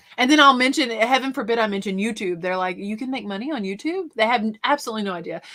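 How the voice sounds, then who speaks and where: With a Southern accent, a woman talks at a very fast pace with hardly any pauses, her fairly high, bright, sharp tone marked by lively intonation. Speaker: reseller and YouTuber. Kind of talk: casual chat.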